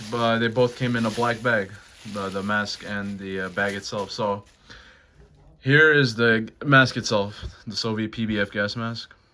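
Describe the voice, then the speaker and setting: Speaking at a fairly slow pace, a man with a fairly low pitch has a bright, sharp tone and fairly even intonation. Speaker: gas mask collector and YouTuber. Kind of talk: product review. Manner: halting, many fillers.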